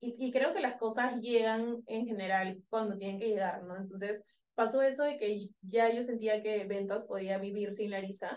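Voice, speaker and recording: A woman's ordinary speaking voice at a fairly high pitch, fairly slow pace and fairly even intonation. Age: 30s. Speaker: startup founder. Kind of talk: interview.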